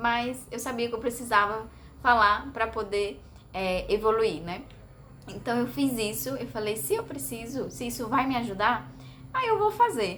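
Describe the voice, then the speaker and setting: Intonation is lively and the pace fairly slow. Room echo is audible. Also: woman, fairly high pitch for a woman. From Brazil, Bahia. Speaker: vlogger. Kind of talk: casual vlog monologue. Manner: hesitant, many fillers.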